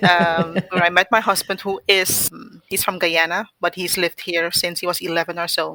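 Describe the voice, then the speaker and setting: Over a silent background in a very clean recording, a woman with a fairly low pitch and a bright, sharp tone speaks at a moderate pace in a monotone, flat intonation. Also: dry, close sound with no echo. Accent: Dutch. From Suriname. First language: Dutch. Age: 40s. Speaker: podcast guest sharing birth story. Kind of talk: casual interview.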